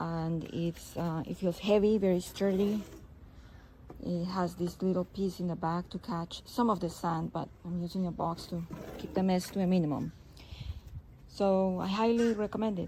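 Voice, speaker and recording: Her pitch is fairly low and her tone dark and mellow, a woman speaking at a moderate pace. She sounds somewhat breathy, with fairly even intonation. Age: 60s. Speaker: customer reviewer. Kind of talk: product review.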